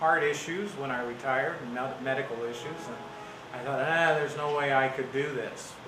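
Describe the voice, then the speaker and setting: A man with an American accent speaks at a moderate pace and medium pitch, with ordinary pitch variation. Background noise is noticeable, and the room echo is audible. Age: 60s. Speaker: retired teacher and gallery owner. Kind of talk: casual interview. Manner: hesitant with many fillers.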